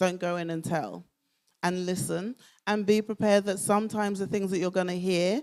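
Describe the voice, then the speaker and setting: On a very clean recording with a silent background, a woman with a Southeast London accent speaks at a fairly low pitch. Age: 50s. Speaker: speaker. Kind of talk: talk Q&A.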